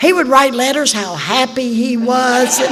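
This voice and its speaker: A woman with an Appalachian accent speaks fairly slowly in a high voice. Audible room echo and noticeable background noise fill the recording. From West Virginia. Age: old. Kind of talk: testimony.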